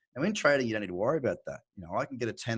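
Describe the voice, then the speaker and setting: The recording is very clean, with a silent background. A man with an Australian accent speaks at a medium pitch. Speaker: crypto trader. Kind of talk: interview. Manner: casual, halting with fillers.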